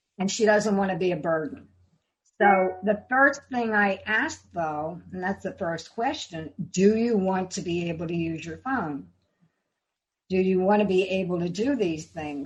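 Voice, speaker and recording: A woman speaks at a medium pitch with lively intonation. Her voice is somewhat breathy. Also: fairly slow pace. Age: 80s+. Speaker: life coach. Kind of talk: interview answer.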